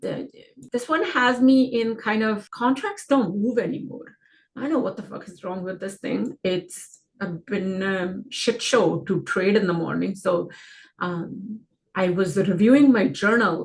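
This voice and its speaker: Somewhat breathy and medium in pitch, a woman speaks fairly slowly, with ordinary pitch variation and big swings in loudness. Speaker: stock trading educator. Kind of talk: market analysis screen-share tutorial. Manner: casual, filler-heavy.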